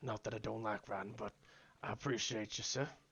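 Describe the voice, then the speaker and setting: A raspy, put-on character voice from a man, medium in pitch, fairly quick and fairly even in intonation. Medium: game stream. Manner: polite, folksy, says "sir" often.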